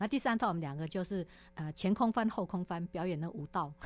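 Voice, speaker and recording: A woman with a medium-pitched voice speaks in an animated tone at a fairly quick pace. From Taiwan, Taipei (Wanhua). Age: 50s. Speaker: former tech company general manager. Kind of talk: interview. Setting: studio.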